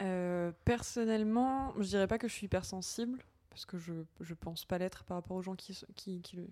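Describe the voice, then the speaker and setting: A woman's medium-pitched voice, dark and mellow in tone, at a moderate pace, with ordinary pitch variation and big swings in loudness. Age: 20s. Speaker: nursing assistant and podcaster. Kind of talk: casual chat.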